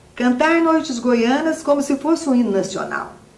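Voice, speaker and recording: A woman speaks in a high voice. She has a Minas Gerais accent. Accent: Minas Gerais accent, still noticeable. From Minas Gerais, Brazil. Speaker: writer and musician, academy member. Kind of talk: interview; reading aloud.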